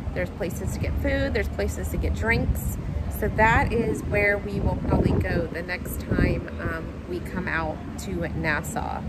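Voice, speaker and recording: A woman talks at a moderate pace with music in the background. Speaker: travel vlogger. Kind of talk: casual vlog chat. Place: boat. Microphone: phone near.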